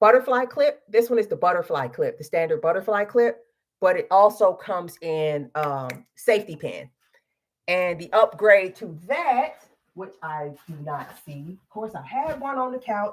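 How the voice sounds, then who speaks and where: This woman's voice sits at a medium pitch and swings very widely in pitch. Her tone is animated, with big swings in loudness. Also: fairly slow pace. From Chicago, US Midwest, Mississippi-raised family. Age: 40s. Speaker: online show host. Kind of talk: casual product pitch on livestream.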